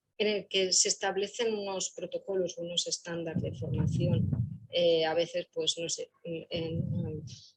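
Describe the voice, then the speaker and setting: This woman's medium-pitched voice is somewhat breathy, and its pitch varies in an ordinary way. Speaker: employment services professional. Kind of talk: panel talk.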